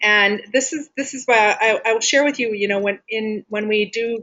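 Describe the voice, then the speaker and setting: At a moderate pace, a woman with a plain, everyday voice talks at a medium pitch. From Wisconsin, US Midwest. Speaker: health and fitness coach. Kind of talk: live group coaching call.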